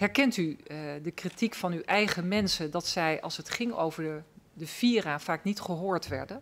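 A woman's normal speaking voice, fairly low-pitched, at a moderate pace with ordinary pitch variation. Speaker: member of parliament; witness. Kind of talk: formal hearing questioning. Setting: parliamentary hearing room. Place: hall. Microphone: podium.

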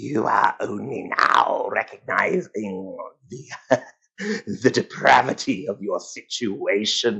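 At a very slow pace, a man delivers his lines in a raspy, put-on character voice. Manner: cackling.

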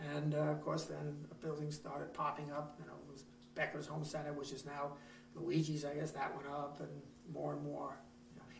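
Over noticeable background noise, the speaker talks at a moderate pace. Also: man. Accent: American. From Long Island, New York. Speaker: retired market owner. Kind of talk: interview answer.

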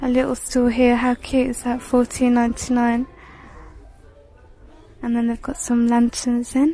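At a fairly slow pace, a woman speaks in a monotone with flat intonation, her fairly high pitch carrying a dark, mellow tone.

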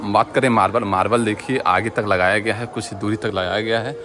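With fairly even intonation and a moderate pace, a man speaks as noticeable noise sounds in the background. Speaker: railway vlogger. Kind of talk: casual vlog commentary. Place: station. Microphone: phone near.

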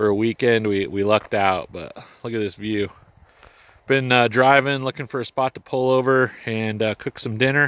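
In a dry sound with no echo, a man talks at a moderate pace and his pitch varies in an ordinary way. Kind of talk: casual vlog chat. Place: open country. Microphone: phone near.

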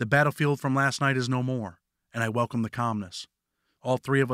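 Over a quiet background, this is plain reading aloud with fairly even intonation.

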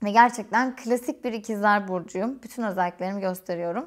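Against a quiet background, a woman talks at a fairly quick pace. Her pitch varies in an ordinary way. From Turkey, Eskişehir; Turkey. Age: 30s. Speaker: YouTuber and quality engineer; vlogger. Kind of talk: casual Q&A vlog. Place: home room.

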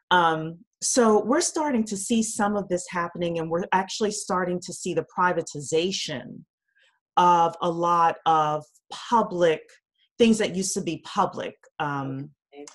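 An ordinary speaking voice from a woman with an American accent, fairly slow and fairly low in pitch, with ordinary pitch variation and big swings in loudness against a quiet background. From US South. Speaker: blockchain consultant. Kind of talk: casual chat. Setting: video call. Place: home room. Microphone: video call.

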